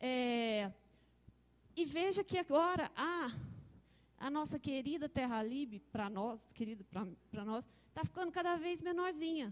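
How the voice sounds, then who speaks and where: A high-pitched woman talks at a fairly slow pace with very wide pitch swings. Long, frequent pauses break up her speech. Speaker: software researcher presenting. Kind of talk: conference talk.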